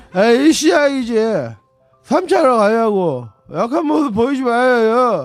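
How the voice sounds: A man's put-on character voice at an extremely high pitch, mumbling with lively intonation at a fairly slow pace, with long, frequent pauses and music in the background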